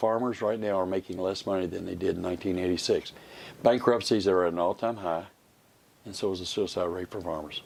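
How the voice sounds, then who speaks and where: Talking at a fairly quick pace, a man with an American accent uses a very deep, low pitch and fairly even intonation. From Kentucky, Georgetown. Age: 60s. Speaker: political candidate, farmer. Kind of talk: interview.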